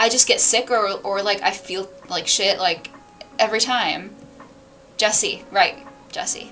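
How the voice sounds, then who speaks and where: With noticeable background noise, a woman speaks at a very slow pace with long, frequent pauses and ordinary pitch variation. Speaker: book streamer. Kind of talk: casual livestream chat. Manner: halting, restarts sentences.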